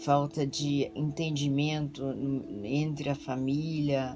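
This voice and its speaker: Music plays in the background as a woman speaks at a very slow pace. Her pitch is very deep and low, her intonation fairly even. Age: 60s. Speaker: pastor. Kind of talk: testimony. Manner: halting.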